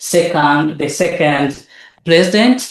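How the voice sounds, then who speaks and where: A man speaks with a Tanzanian accent at a fairly high pitch. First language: Nyakyusa. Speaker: academic researcher. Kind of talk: lecture. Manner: halting.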